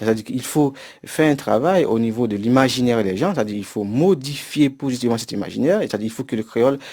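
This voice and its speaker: Speaking very fast, a man with a dark, mellow tone keeps to a medium pitch with ordinary variation. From Haiti. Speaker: university professor. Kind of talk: interview. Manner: hesitant with fillers.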